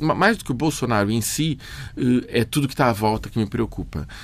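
A man talks at a moderate pace and medium pitch with ordinary pitch variation in a normal speaking voice. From Brazil, São Paulo. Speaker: filmmaker. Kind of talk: interview.

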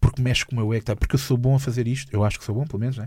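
A dark, mellow, somewhat breathy tone with fairly even intonation on a very clean recording with a silent background. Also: man. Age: 20s. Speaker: comedian. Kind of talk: casual interview chat. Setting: studio. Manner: halting, repeats words.

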